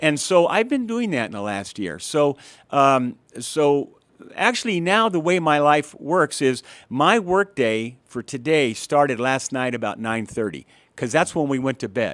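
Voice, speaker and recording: Over a silent background in a very clean recording, a man speaks fairly slowly at a fairly high pitch with very wide pitch swings. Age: 60s. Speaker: guest sharing personal health story. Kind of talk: testimony. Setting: studio. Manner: halting, with frequent repetitions.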